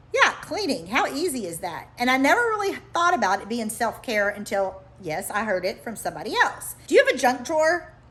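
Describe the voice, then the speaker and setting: A woman talks at a fairly quick pace with hardly any pauses over noticeable background noise. Her high voice moves through very wide pitch swings. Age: middle-aged. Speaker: life coach. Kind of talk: vlog monologue. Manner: casual, conversational.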